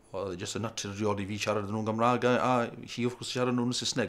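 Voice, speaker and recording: Over noticeable background noise, a man in a South Welsh accent talks very fast at medium pitch with monotone, flat intonation. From Wales, Carmarthenshire. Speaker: parent. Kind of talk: interview.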